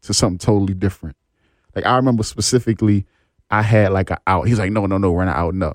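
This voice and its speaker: This very clean recording has a silent background. A man speaks with a fairly low pitch and ordinary pitch variation. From Louisiana, New Orleans. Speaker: state trooper and former football player. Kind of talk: casual chat.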